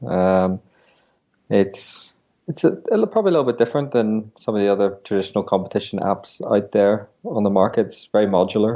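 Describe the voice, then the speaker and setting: Speaking at a moderate pace, a man with a European accent has a fairly low pitch. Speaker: business founder. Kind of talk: interview. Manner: hesitant, many fillers.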